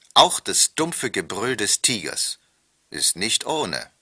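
Dry and close, with no echo, is how this man's voice sounds. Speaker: former television news anchor. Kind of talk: pre-recorded tour-guide narration played over loudspeakers. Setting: played from tape over loudspeakers in train wagons.

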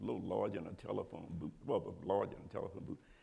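A man speaks at a fairly quick pace. His tone is dark and mellow, with vocal fry. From New Orleans. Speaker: drummer. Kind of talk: interview answer. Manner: casual, animated storytelling. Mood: animated storytelling. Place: hall. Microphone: lapel.

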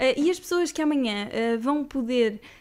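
The speaker is a woman. Her voice has a high pitch. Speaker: radio host. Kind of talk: interview, casual chat. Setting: studio. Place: studio. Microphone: studio mic.

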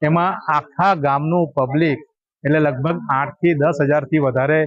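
This man has an unremarkable speaking voice at a fairly high pitch. His intonation is fairly even. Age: 50s. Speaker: local devotee. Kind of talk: interview statement.

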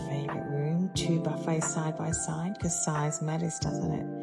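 The speech moves at a moderate pace. Loud music plays in the background. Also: woman. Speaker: interior stylist. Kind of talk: casual showroom tour to camera. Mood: playful, cheerful. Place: shop. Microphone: phone near.

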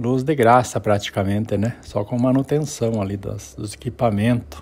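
A somewhat breathy man talks at a moderate pace. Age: 60s. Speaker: family storyteller. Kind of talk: personal storytelling. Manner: halting.

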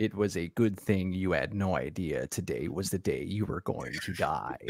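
Putting on a character voice, a man speaks at a very deep, low pitch. His pace is moderate. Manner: flat, stiff, like a dub.

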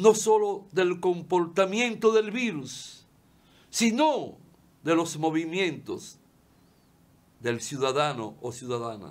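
A man with a high voice talks very slowly, his pitch swinging very widely between long, frequent pauses. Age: 70s. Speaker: lawyer and TV commentator; lawyer, TV commentator. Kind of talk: opinion monologue. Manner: impassioned. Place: studio.

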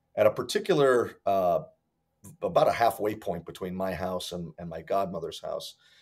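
A man with an American accent speaks as faint music plays in the background. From Hartford, Connecticut, US; Connecticut. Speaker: martial arts instructor. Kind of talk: interview. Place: home room.

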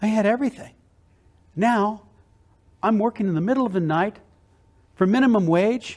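Lively intonation at a moderate pace over a quiet background. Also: man. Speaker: motivational keynote speaker. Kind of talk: motivational keynote speech. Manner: enthusiastic, energetic. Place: hall. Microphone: lapel.

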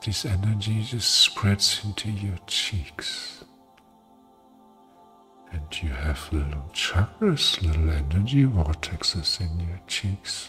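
Faint music plays behind a man with a soothing, gentle tone. He talks at a very slow pace with lively intonation. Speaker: ASMR relaxation guide and hypnotherapist. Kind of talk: guided relaxation ASMR. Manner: soothing, slow, gentle. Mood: warm, tender, smiling.

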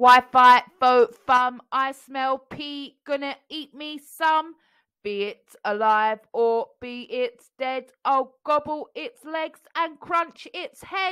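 In a put-on character voice, a woman speaks very slowly in a robotic, high-pitched way. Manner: loud.

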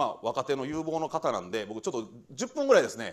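A man speaks at a fairly quick pace with vocal fry and a fairly high pitch over a quiet background. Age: 40s. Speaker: administrative scrivener firm head; guest lecturer. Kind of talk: lecture. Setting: lecture hall with audience. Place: classroom.

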